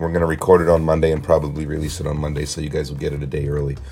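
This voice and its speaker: Noticeable background noise sits under this man's speech. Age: 50s. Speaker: fitness trainer and podcast host. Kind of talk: casual monologue. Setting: office at a gym.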